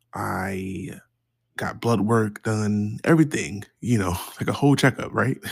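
Speaking at a fairly slow pace, a man with an American accent uses a fairly low pitch with ordinary variation in a plain, everyday voice. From Baltimore, Maryland, US. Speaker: podcast host sharing mental health experience. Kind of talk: personal storytelling monologue.

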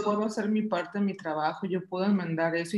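A woman with an ordinary speaking voice talks at a fairly quick pace, her pitch fairly low and her intonation fairly even. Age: 30s. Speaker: podcast co-host. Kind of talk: casual chat.

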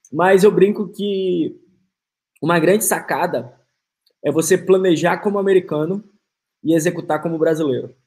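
This man's voice sits high in pitch, with fairly even intonation. He leaves long pauses, and they come often. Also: moderate pace. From Manaus, northern Brazil. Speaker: podcast host. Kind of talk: casual chat.

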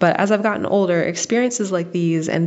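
Over noticeable background noise, a woman with an American accent speaks at a fairly low pitch with fairly even intonation. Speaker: listener sending a voice memo. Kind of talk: recorded personal testimony. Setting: voice memo recording.

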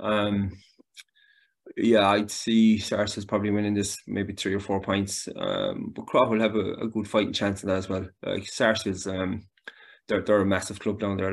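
Over a quiet background, a man with a Galway accent talks in a fairly low, monotone voice with flat intonation. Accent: Galway Irish. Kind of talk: casual sports chat.

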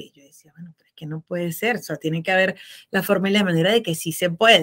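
Her tone is bright and sharp. This woman talks at a fairly quick pace with ordinary pitch variation. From Venezuela. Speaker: accountant and tax consultant. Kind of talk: podcast interview.

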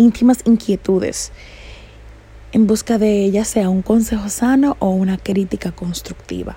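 A woman talks at a very slow pace. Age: 20s. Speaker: podcast host. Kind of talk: reflective monologue.

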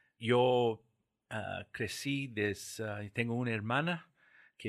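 Here a man is talking. The recording is very clean, and the background is silent. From US Southwest, New Mexico. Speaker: bank executive. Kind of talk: interview. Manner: halting.

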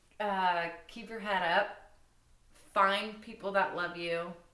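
Someone with an American accent speaks at a fairly slow pace with fairly even intonation. Room echo is audible. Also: woman. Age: 20s. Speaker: podcast guest, host's best friend. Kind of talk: casual chat.

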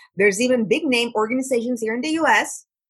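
A woman uses a plain, everyday voice. She talks at a fairly quick pace with ordinary pitch variation. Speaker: life coach. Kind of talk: podcast interview.

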